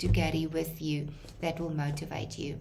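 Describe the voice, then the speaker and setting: A woman talks at a moderate speed, with audible room echo and noticeable background noise in the recording. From South Africa. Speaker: lecturer. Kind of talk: lecture. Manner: halting.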